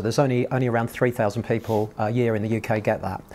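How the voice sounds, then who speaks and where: Intonation is kept fairly even. A man is speaking. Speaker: guest. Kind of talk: personal testimony to an audience. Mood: earnest, emotional story. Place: hall.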